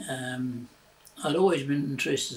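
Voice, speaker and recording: A man speaks with a New Zealand accent at a medium pitch. There is noticeable background noise. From New Zealand, Christchurch. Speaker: retired railway worker. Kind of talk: oral history interview. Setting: at home. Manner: halting, many fillers.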